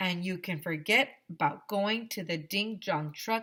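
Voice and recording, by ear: Someone reads the text aloud, using a natural voice.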